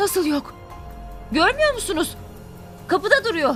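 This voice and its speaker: With clear music behind her, a woman does a put-on character voice at an extremely high pitch, swinging very widely in pitch at a moderate pace. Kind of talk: radio drama acting. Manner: scared, agitated.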